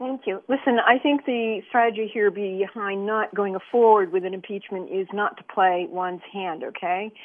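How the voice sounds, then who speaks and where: A woman speaks in a plain, everyday voice at a medium pitch, with ordinary pitch variation. Her pace is moderate and she hardly pauses at all. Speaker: caller. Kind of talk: call-in discussion. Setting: phone call.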